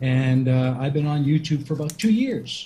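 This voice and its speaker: Noticeable background noise accompanies a man who speaks at a moderate pace with ordinary pitch variation. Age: 60s. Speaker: debater, primary school teacher. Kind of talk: debate opening statement.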